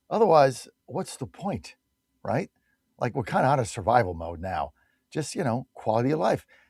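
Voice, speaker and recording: A man speaks at a moderate pace in a medium pitch, with vocal fry and very wide pitch swings. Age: 60s. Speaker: radio talk show host. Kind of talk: live ad read and call-in radio. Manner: animated.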